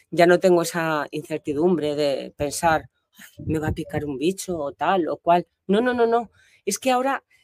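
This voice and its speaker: A woman with a fairly low pitch speaks at a fairly slow pace with lively intonation against a quiet background. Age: 60s. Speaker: diving student. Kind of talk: interview. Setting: in person on location. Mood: warm, grateful, relaxed. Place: open country. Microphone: lapel.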